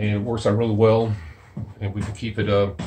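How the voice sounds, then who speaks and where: Over light background noise, a man with a fairly low, somewhat breathy voice speaks at a moderate pace with fairly even intonation. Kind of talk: tutorial. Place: garage. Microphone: phone near.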